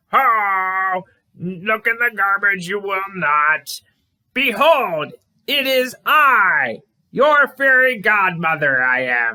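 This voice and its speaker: A man puts on a character voice with a high pitch and talks at a very slow pace. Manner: grand, theatrical, backwards syntax.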